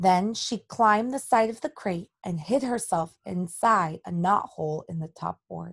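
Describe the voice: Against a quiet background, the clip is plain reading aloud.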